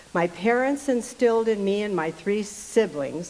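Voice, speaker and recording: With noticeable background noise, a woman talks at a fairly slow pace in a fairly high pitch. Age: 80s+. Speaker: amateur performer reading personal story. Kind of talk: reading aloud.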